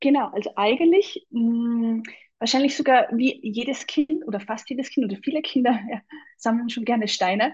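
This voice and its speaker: Her voice is high-pitched, and this woman uses ordinary pitch variation. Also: moderate pace. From Austria, Salzburg. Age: 40s. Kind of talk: casual interview chat.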